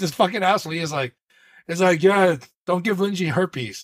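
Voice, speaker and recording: A man with an American accent talks at a fairly quick pace in a high pitch. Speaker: podcast co-host. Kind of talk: casual chat.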